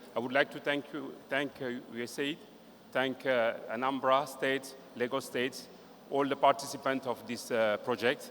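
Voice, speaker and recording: A man with a French accent, medium pitch and monotone, flat intonation at a moderate pace. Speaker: regional director giving closing remarks. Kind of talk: closing speech. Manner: halting, hesitant.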